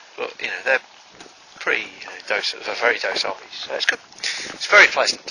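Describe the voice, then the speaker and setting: This man speaks fairly quickly, and there is noticeable background noise. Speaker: dairy farm worker. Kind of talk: casual talk to camera. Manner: mumbling, hesitant, wry.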